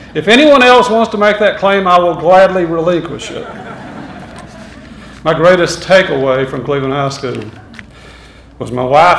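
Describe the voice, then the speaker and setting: A man with a Tennessee accent speaks at a high pitch and moderate pace with ordinary pitch variation, amid audible room echo and noticeable background noise. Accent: Southern US (Tennessee). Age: 60s. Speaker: hall of fame inductee. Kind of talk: acceptance speech. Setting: school assembly with audience. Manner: halting.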